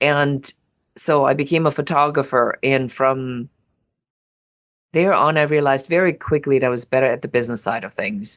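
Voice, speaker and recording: In a very clean recording with a silent background, a woman with a very deep, low pitch speaks at a moderate pace, using ordinary pitch variation and long, frequent pauses. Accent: German. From Germany. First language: German. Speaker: business coach and entrepreneur. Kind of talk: personal business story.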